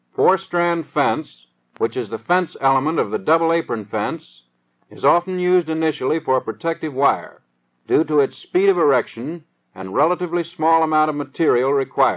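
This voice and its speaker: A man with an American accent and an unremarkable speaking voice, fairly high in pitch, with ordinary pitch variation and a moderate pace. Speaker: training film narrator. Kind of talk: 1930s US Army training film narration. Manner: formal, measured, dry instructional delivery; steady, matter-of-fact, newsreel-style cadence.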